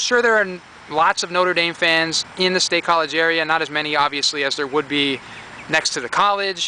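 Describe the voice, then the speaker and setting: A man talking at a very fast pace with ordinary pitch variation, the sound dry with no echo and light background noise. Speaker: reseller. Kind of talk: casual vlog chat. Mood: upbeat, pleased with finds. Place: garden. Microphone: phone near.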